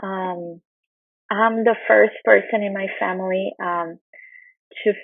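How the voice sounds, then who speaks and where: At a fairly slow pace, a woman speaks with a Brazilian Portuguese accent at a medium pitch. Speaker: nutrition researcher. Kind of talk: conference talk.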